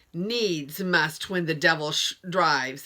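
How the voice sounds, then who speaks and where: A woman puts on a shaky character voice, fairly low in pitch, and speaks at a fairly slow pace. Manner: shaky, frightened.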